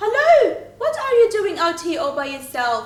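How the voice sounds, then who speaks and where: A woman puts on a character voice, croaky and squeaky at an extremely high pitch, with very wide pitch swings, a moderate pace and slight echo. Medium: read story.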